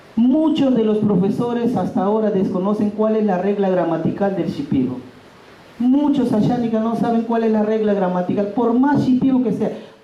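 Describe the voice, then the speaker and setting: At a moderate pace, a man talks in a high pitch with ordinary pitch variation and very even loudness. Audible room echo and noticeable background noise fill the recording. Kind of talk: workshop talk. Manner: loud, emphatic.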